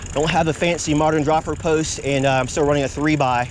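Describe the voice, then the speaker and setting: A man with an American accent talks at a fairly quick pace in a fairly high voice. His intonation is fairly even, and there is noticeable background noise. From Virginia, Hampton Roads area. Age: 50s. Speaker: mountain biking vlogger. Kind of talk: casual vlog narration. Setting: outdoors on bike trail.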